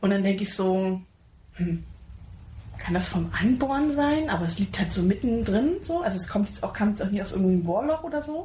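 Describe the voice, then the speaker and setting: A woman speaks at medium pitch and a fairly quick pace. Her voice is somewhat breathy, with very wide pitch swings. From Pirna near Dresden, Saxony, Germany. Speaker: podcast co-host. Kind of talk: casual chat.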